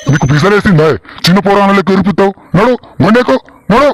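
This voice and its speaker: Putting on a character voice, a man with a high pitch speaks at a moderate pace with lively intonation. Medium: comedy sketch.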